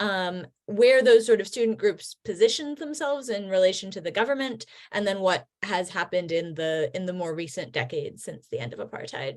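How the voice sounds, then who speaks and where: With an American accent, the speaker moves at a fairly quick pace, with very wide pitch swings and big swings in loudness. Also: woman, medium pitch for a woman. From United States. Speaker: history professor. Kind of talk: video call presentation.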